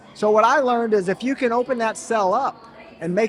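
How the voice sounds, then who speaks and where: An extremely high-pitched male voice, animated and with lively intonation, over noticeable background noise. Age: 60s. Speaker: health company founder. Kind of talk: interview.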